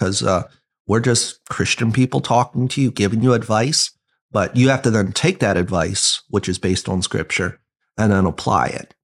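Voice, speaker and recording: A man talks at a moderate pace in an unremarkable speaking voice of medium pitch. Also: ordinary pitch variation. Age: 30s. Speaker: associate pastor. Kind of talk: casual bible discussion podcast.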